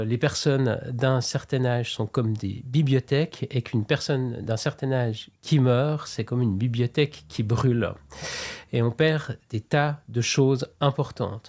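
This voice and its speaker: This man talks at a fairly slow pace in a medium pitch with a plain, everyday voice. His intonation is fairly even, and the recording is very clean with a silent background. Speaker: interviewer. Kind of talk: interview question.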